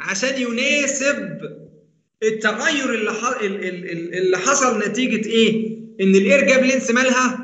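In an Egyptian accent, a man speaks at a very slow pace with an extremely high pitch and ordinary pitch variation, and the room echo is audible. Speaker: university engineering lecturer. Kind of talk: online lecture. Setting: online class.

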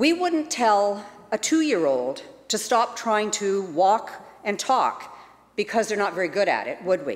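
A woman talks at a fairly high pitch with very wide pitch swings. Her pace is fairly slow. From British Columbia, Canada. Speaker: legislator giving a member's statement. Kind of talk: rally speech, a rousing, rhetorical call to imagine a better society. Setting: legislative chamber. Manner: earnest, inspirational, measured and persuasive. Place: hall. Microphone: podium.

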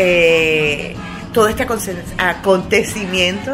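A woman's voice over loud music in the background. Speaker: amateur runner vlogger. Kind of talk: casual vlog chat.

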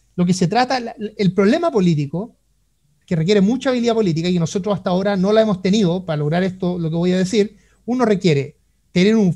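A voice with a Chilean accent and a dark, mellow tone moves at a fairly quick pace with ordinary pitch variation. Loudness swings widely against a quiet background. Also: man. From Chile, Concepción. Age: 30s. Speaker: economist; guest. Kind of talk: interview. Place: home room. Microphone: video call.

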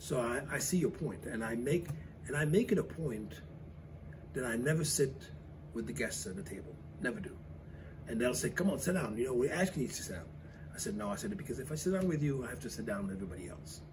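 Very fast male speech with very wide pitch swings and noticeable background noise. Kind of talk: interview answer. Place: cafe.

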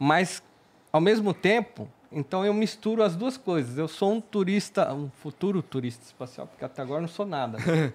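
A high-pitched male voice with very wide pitch swings. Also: moderate pace. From Brazil. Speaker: space travel salesman, future astronaut; space travel salesman. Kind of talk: casual chat. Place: studio. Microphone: studio mic.

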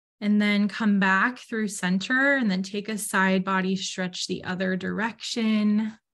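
Against a quiet background, a woman speaks in a calm, soothing tone at a medium pitch and a fairly slow pace. Her intonation is fairly even, with hardly any pauses. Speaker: student speaker and yoga guide. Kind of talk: guided meditation. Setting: video call. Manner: slow, calm, soothing; gentle, instructive. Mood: calm, gentle, soothing. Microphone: video call.

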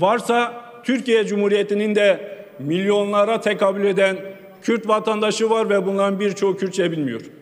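A man with a high pitch at a fairly slow pace. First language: Kurdish (speaking Turkish). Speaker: member of parliament. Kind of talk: parliamentary speech. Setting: parliament chamber. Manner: formal. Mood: earnest, appealing. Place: hall. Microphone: podium.

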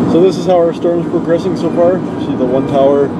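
A man speaks with ordinary pitch variation against loud background noise. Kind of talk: casual vlog commentary. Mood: hopeful, excited. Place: car. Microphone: phone near.

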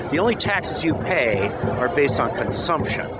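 With music in the background, a man talks at a moderate pace in a dry sound with no echo. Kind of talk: street speech to camera. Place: street. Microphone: phone near.

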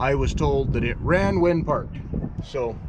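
A man speaks at a fairly slow pace, and noticeable background noise can be heard. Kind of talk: casual vlog chat. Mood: mildly disappointed. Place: open country. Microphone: phone near.

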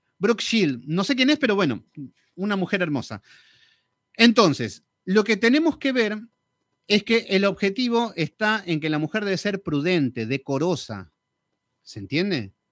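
A man's high voice with very wide pitch swings, fairly slow and broken by long, frequent pauses, with a dry sound with no echo and a quiet background. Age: 40s. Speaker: Bible teacher. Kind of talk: Bible study lecture. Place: studio. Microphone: studio mic.

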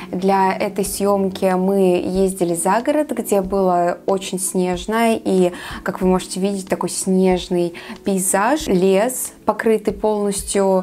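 Light background noise sits behind a woman. She speaks at a fairly slow pace with fairly even intonation. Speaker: photographer vlogger. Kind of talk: casual vlog chat. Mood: calm, warm. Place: home room.

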